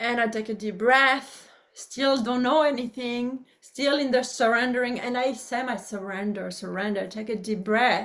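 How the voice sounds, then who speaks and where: A woman with a French accent talks at a moderate pace, with hardly any pauses. Her pitch is high and her intonation fairly even. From France, rural farm. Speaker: public speaker and author. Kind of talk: interview. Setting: video call. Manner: halting.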